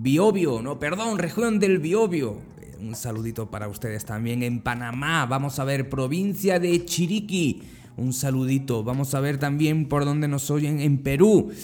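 A man with an ordinary speaking voice, fairly high pitch, lively intonation, and a fairly slow pace. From Andalusia, Spain (Motril). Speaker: podcast host. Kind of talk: casual greeting; motivational monologue.

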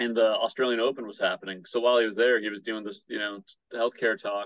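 Talking at a fairly quick pace, a man with a Midwestern American accent keeps a medium pitch and fairly even intonation. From Michigan, Battle Creek. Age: 30s. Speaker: punk musician and public health student. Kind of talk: casual interview.

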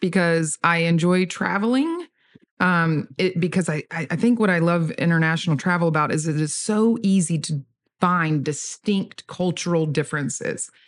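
Talking in a Southern US accent, a woman with a fairly low pitch keeps a moderate pace and ordinary pitch variation. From US South, Georgia. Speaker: church kids' ministry director. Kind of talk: casual chat.

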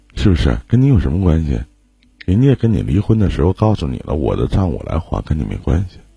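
A man with a very deep, low voice and a dark, mellow, somewhat breathy tone speaks at a fairly quick pace. His pitch swings very widely. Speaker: livestream relationship advice host. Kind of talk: live call-in advice chat. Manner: casual, joking.

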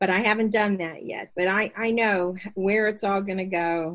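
In an unremarkable speaking voice, a woman talks at a fairly slow pace with a quiet background. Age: 60s. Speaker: mother and developmental editor, aspiring author. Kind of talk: casual interview.

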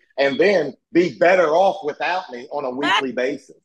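With a Southern US accent, a man talks with lively intonation. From US South. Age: 40s. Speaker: former pro wrestler and YouTuber. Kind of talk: casual interview chat.

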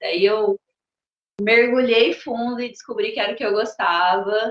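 Her voice is high-pitched, and this woman uses ordinary pitch variation. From Brazil, Mato Grosso (Rondonópolis). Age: 30s. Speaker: circus teacher and personal trainer. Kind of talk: casual interview.

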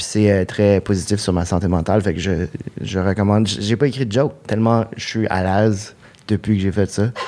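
A man talks in a normal speaking voice, his fairly low pitch carried at a moderate pace and with fairly even intonation. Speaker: comedian. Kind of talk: comedy podcast jokes. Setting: stage with audience.

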